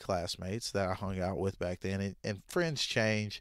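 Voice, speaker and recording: A man speaks in a Southern US accent at a fairly low pitch with ordinary pitch variation. The recording is very clean, with a silent background. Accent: Southern American. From Southern US, Arkansas. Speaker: podcast host. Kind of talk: podcast monologue. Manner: casual, conversational.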